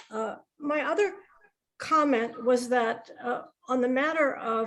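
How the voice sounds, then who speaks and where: In a normal speaking voice with an American accent, a woman with fairly high pitch speaks at a fairly slow pace. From USA. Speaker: audience member asking questions. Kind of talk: question and comment in online panel Q&A.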